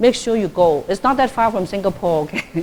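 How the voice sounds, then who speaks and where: Speaking at a moderate pace with a Cantonese accent, a woman uses lively intonation at a medium pitch. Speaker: Buddhist nun giving a dharma talk. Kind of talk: lecture. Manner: conversational, frequent fillers.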